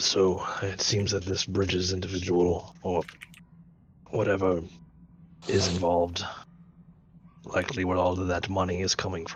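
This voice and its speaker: A man puts on a character voice that is raspy and very deep, low in pitch. He moves at a moderate pace in a monotone, flat delivery broken by long, frequent pauses. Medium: actual play.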